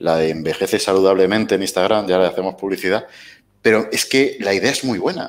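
Ordinary pitch variation shapes the very deep, low voice of a man. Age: 30s. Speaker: weight-loss interviewee; interview guest. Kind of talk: casual interview. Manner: halting. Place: home room. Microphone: headset.

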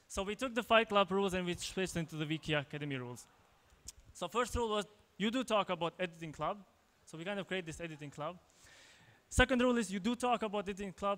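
Speaking at a very fast pace but with long, frequent pauses, a man uses a high pitch, ordinary pitch variation and an Albanian accent. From Kosovo. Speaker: tech entrepreneur, conference speaker; conference speaker. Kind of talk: conference talk. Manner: halting, many fillers and repetitions. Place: hall. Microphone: handheld.

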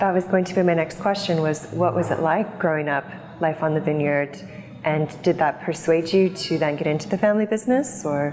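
A woman at a low pitch and fairly quick pace, few pauses, faint background noise. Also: ordinary pitch variation, slightly mellow tone.

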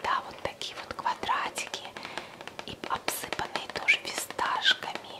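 Very slow whispering from a woman. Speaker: ASMR creator. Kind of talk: casual talk to camera, product show-and-tell. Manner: soft, close-up whisper. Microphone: studio mic.

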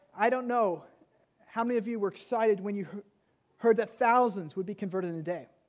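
The setting is quiet. A man speaks at a fairly quick pace. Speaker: pastor. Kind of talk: sermon. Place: church. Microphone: headset.

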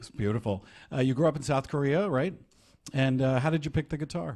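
In a very clean recording with a silent background, a man speaks at medium pitch and a fairly quick pace, with a slightly mellow tone and ordinary pitch variation.

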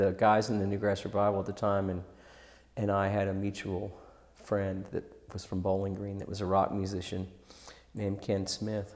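With an American accent, a man talks in a fairly low, monotone voice with flat intonation, leaving long, frequent pauses. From Kentucky (Louisville); Kentucky. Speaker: musician (bassist); interviewee. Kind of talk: interview. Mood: relaxed, reflective.

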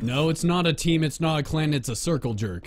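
A man speaks at a fairly quick pace in a fairly high pitch, with ordinary pitch variation.

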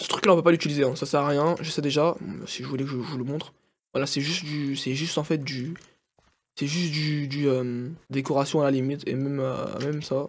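A man's fairly high-pitched voice, monotone and flat, at a fairly quick pace. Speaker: gaming youtuber. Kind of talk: gameplay commentary. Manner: halting, many fillers.

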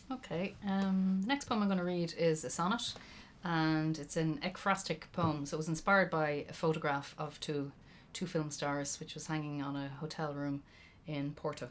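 A woman speaks with an Irish accent and a very deep, low pitch. Her pitch varies in an ordinary way, with light noise in the background. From Ireland. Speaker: poet. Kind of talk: poetry performance. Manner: slow, lyrical, deliberate reading.

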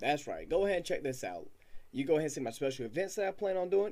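A man is speaking here. He goes at a very fast pace. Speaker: small channel creator. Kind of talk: casual vlog chat. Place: home room. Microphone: webcam.

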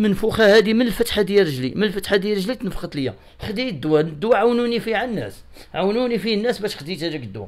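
Against a quiet background, a man talks at a very fast pace. His voice is high, with lively intonation. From Morocco, Casablanca old medina; Morocco. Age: 50s. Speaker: interviewee. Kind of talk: interview testimony, appeal for help. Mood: pleading, telling of hardship. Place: home room. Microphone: handheld.

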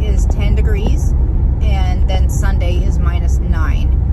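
A woman speaks in a dry sound with no echo. Loud background noise runs behind her. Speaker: vlogger driving. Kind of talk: casual vlog chat. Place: car. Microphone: phone near.

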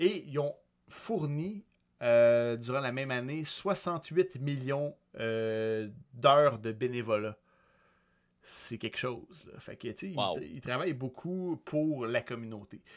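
With a Quebec accent, a man talks at a very slow pace with lively intonation over a quiet background. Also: big swings in loudness. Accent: Québécois French. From Quebec, Sorel. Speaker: podcast host and streamer; podcast host, streamer. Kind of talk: casual chat. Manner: hesitant, many filler sounds. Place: home room. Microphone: studio mic.

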